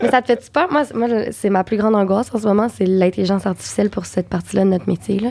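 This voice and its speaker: Vocal fry runs through a dark, mellow tone delivered at a very fast pace. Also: woman, medium pitch for a woman, ordinary pitch variation. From Quebec. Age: 20s. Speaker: actress and voice actor. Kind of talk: casual chat.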